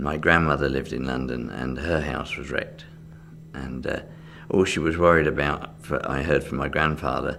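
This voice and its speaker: With a southern English accent, a man talks at a moderate pace in a very deep, low voice, his intonation fairly even and room echo audible around him. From England, Reading, Berkshire. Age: 60s. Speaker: magician. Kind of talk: interview. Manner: hesitant, with fillers.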